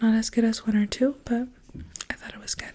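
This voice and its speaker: Soft-spoken and fairly high in pitch, a woman talks over noticeable background noise. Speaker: ASMR creator, book reviewer. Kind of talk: book review, ASMR soft speaking.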